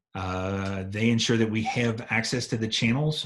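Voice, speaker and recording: A man talks in a somewhat breathy voice. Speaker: EMT instructor. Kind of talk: lecture. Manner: fast.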